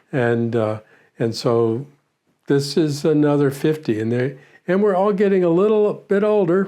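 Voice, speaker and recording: With a dark, mellow tone and very even loudness, a man speaks at a fairly slow pace using very wide pitch swings. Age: 70s. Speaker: former prisoner of war, retired air force navigator. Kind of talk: interview. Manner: halting.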